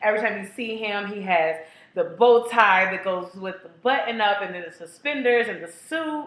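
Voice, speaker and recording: Over noticeable background noise and audible room echo, a woman speaks in a medium pitch with an animated tone. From Kentucky, Louisville. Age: 20s. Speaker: casting applicant. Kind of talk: audition tape monologue. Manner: fast.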